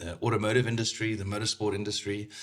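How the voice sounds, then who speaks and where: The speaker has a South African accent and a monotone, flat intonation. The recording is very clean, with a silent background. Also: man. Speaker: motorsport sales manager. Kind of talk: casual podcast interview. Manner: hesitant, many fillers.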